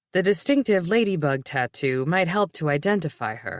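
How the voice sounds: With lively intonation, this is a natural reading voice.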